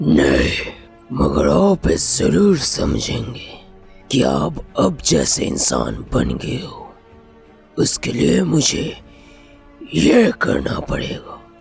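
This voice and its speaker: Very slowly, a man puts on a raspy character voice with a very deep, low pitch as faint music plays behind him. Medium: read story. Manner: cold, threatening.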